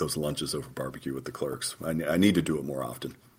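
A man with an American accent speaks at a very fast pace, his pitch very deep and low. His voice carries vocal fry and ordinary pitch variation. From southeastern Oklahoma. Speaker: federal judge. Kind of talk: interview.

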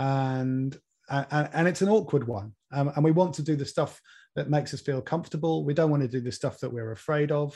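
Fairly high in pitch yet dark and mellow in tone, a man's somewhat breathy voice moves at a fairly quick pace with ordinary pitch variation against a quiet background. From Norfolk, England. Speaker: environmental campaigner and author. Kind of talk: interview. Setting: video call.

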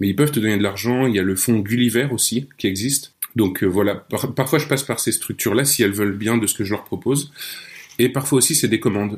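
A man's medium-pitched voice rushes along at a very fast tempo. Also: ordinary pitch variation. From France, Nancy. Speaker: audio fiction writer. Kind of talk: casual interview chat. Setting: remote call.

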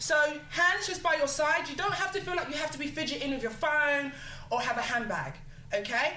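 A woman with a South London accent speaks in a raised, projected voice at a fairly quick pace, her high pitch showing ordinary variation. Noticeable background noise and audible room echo fill the recording. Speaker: female empowerment coach. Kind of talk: casual chat; instruction.

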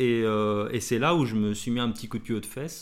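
A man talks at a very fast pace. His voice sits at medium pitch. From France, Blois (Loir-et-Cher). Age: 40s. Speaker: tattoo artist. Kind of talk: casual chat. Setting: studio, shared single mic. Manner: halting, many fillers.

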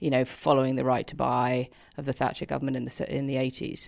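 A woman with a very deep, low pitch talks with vocal fry. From London. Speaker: writer. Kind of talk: panel discussion.

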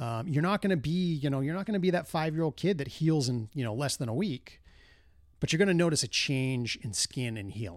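A normal speaking voice from a man at a fairly high pitch and a fairly quick pace. The recording is very clean, with a silent background. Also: lively intonation. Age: 40s. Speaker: solo podcast host. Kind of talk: casual monologue. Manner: casual, filler-heavy.

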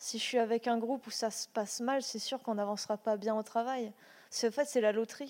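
A woman speaks at a moderate pace in a fairly high, monotone voice with flat intonation. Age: 20s. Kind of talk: panel testimony.

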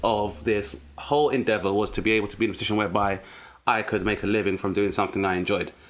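A man with a London accent speaks at a very fast pace. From South East London. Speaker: comedian. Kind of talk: casual chat.

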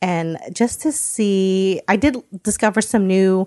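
Against a quiet background with a dry, close sound and no echo, a woman in a normal speaking voice talks at a medium pitch with an American accent. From United States. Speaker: subscription box founder. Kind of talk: casual interview chat. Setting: in person.

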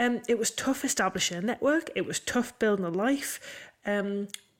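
A woman with a northeast English accent, fairly high pitch, ordinary pitch variation and moderate pace, on a very clean recording with a silent background. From northeast England. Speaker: podcast co-host, land agent. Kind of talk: casual chat.

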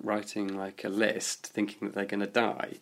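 Moderately paced, a man speaks in a fairly low pitch. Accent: southern English. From London, West Hampstead. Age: 20s. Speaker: swimmer living with HIV. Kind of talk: interview testimony.

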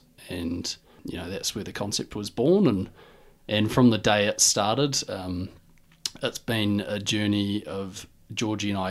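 This man has a New Zealand accent. His pitch sits fairly low. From New Zealand, Dunedin. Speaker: retail business co-founder. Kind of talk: interview.

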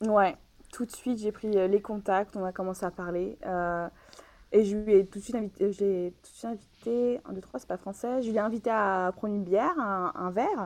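Here is a plain, everyday voice from a woman of medium pitch with ordinary pitch variation. She keeps a moderate pace, with big swings in loudness. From Paris region, France. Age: 20s. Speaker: podcast guest sharing love life. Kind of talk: personal testimony in interview. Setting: remote recording from home.

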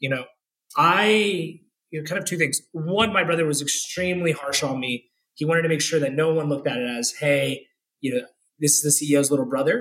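An unremarkable speaking voice with an American accent, a fairly quick pace and ordinary pitch variation. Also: man, fairly high pitch for a man. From US South, Florida (Orlando). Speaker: tech executive. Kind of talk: casual interview.

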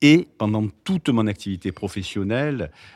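The recording is very clean, with a silent background and a dry, close sound with no echo. A man speaks at a moderate pace with ordinary pitch variation. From Marseille, southern France. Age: 60s. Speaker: doctor. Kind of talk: interview. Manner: halting, with frequent word repetitions.

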